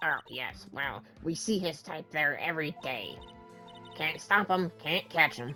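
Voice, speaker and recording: Over clear background music, a man does a put-on character voice at a fairly high pitch and a fairly slow pace. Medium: actual play. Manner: rambling, condescending, old-fashioned slang.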